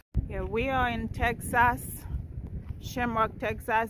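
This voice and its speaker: A woman at a very slow pace, dry sound with no echo, and noticeable background noise. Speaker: road trip vlogger. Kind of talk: casual vlog narration. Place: street. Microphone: phone near.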